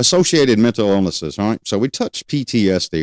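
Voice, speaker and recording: Fairly quick, lively speech from a man, very cleanly recorded against a silent background, dry and close with no echo. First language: not English. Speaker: criminal justice educator, livestream host. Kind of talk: live-streamed educational lecture. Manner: conversational, loosely structured.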